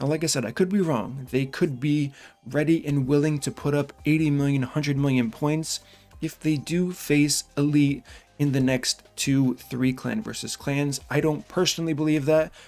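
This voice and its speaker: Music in the background behind a man's fairly high voice, with fairly even intonation at a moderate pace. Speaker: gaming youtuber. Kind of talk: casual commentary video. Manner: loud.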